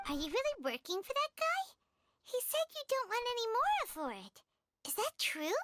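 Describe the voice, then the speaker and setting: A squeaky, put-on character voice at an extremely high pitch, with very wide pitch swings and a moderate pace. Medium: video game. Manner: excitable, blunt.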